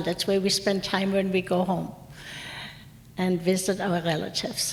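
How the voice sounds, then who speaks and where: A woman's voice amid noticeable background noise. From Germany, Mainz. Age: 70s. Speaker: war survivor. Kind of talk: lecture; testimony.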